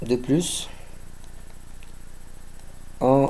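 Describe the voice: A man speaks with a dark, mellow tone and vocal fry.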